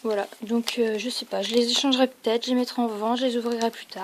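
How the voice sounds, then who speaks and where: A woman's high voice at a moderate pace over noticeable background noise. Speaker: card opening youtuber. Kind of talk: casual unboxing video. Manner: hesitant with fillers.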